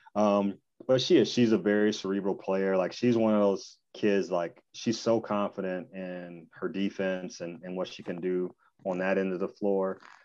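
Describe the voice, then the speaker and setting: With an American accent, the voice moves at a fairly slow pace in a flat monotone, hardly pausing, over a quiet background. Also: man, fairly low pitch for a man. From Michigan, Battle Creek. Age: 40s. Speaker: former college basketball player. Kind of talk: casual interview.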